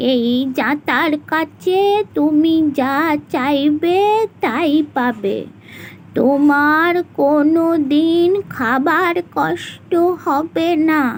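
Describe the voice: A cartoonish character voice moves at a very slow pace with ordinary pitch variation, over clear background noise. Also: woman, high pitch for a woman.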